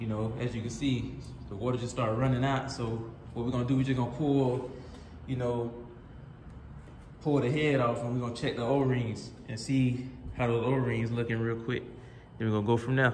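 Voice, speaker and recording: A man talks at a fairly quick pace with monotone, flat intonation, with audible room echo and light background noise. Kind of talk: casual repair walkthrough. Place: garage. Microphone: phone near.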